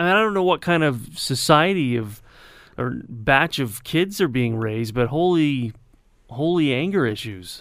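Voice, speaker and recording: Speaking with a Canadian accent, a man uses a fairly high pitch and very wide pitch swings at a moderate pace. The recording is very clean, with a silent background. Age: 30s. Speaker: radio weather announcer. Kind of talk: casual chat. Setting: radio studio. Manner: halting, many fillers.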